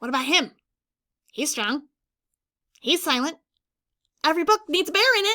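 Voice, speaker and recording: Using a put-on character voice, a woman speaks at a moderate pace and an extremely high pitch. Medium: read story. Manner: bubbly, enthusiastic.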